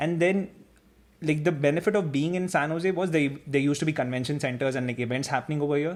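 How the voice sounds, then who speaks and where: This man speaks very fast, his pitch fairly high and its variation ordinary. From India. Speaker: engineer and former master's student. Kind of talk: interview.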